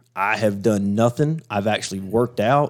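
On a very clean recording with a silent background, a man talks with a Southern US accent. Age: 40s. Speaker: off-road racer. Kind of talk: casual chat.

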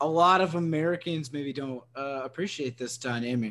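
In a quiet background, a man uses an ordinary speaking voice, fairly high in pitch, with lively intonation. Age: 30s. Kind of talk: casual chat.

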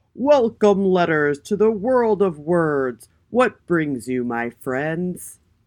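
A booming, put-on character voice at middle pitch speaks at a very slow pace with hardly any pauses. The background is quiet. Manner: regal, booming, proud.

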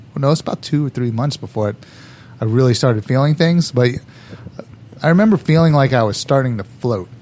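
With noticeable background noise behind him, a man of medium pitch speaks at a very fast pace with lively intonation. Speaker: whiskey bar owner. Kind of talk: casual chat.

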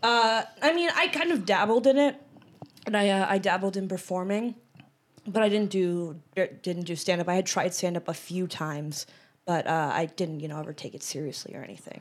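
This speaker has a plain, everyday voice and an American accent. The pace is moderate, with lively intonation and big swings in loudness. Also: woman, medium pitch for a woman. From Western Massachusetts. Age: 20s. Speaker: stand-up comedian. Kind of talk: casual chat. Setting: studio.

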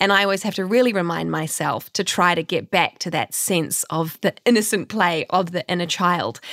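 An unremarkable speaking voice, a woman talks at a moderate pace and a fairly low pitch with ordinary pitch variation, in a dry, close sound with no echo. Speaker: podcast co-host and actor. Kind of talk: casual chat. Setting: video call.

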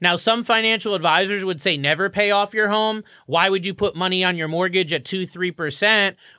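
A man speaks in a raised, projected voice, high in pitch with a bright, sharp tone and ordinary pitch variation, at a fairly quick pace. The recording is very clean with a silent background. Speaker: mortgage broker and podcast host. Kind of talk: radio show talk, informative and conversational. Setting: radio show studio. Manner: upbeat, fluent, enthusiastic.

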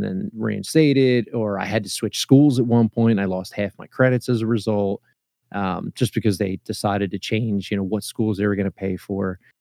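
This man, with a Philadelphia accent, has a fairly low pitch and ordinary pitch variation in a dry, close recording with no echo. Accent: Philadelphia-area American. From US, Philadelphia area (Lansdale, Pennsylvania). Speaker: podcaster and father. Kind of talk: casual interview. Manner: halting, many fillers and repetitions.

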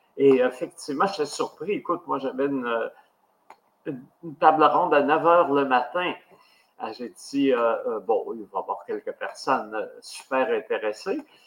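Speaking at a fairly slow pace, a man leaves long, frequent pauses, his loudness swinging widely while his pitch varies in an ordinary way. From Quebec, Abitibi. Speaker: podcast host. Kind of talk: interview. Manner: halting.

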